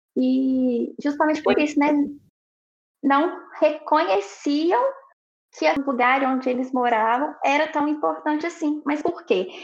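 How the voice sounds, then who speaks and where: Pausing long and often, a woman speaks fairly slowly in a high pitch with ordinary pitch variation. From Pitangui, Minas Gerais, Brazil. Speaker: architect. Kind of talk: casual chat.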